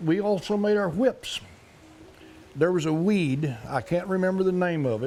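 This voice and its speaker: A man with an Oklahoma accent. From Park Hill, Oklahoma. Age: old. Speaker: Cherokee elder. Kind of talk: interview answer, childhood memories.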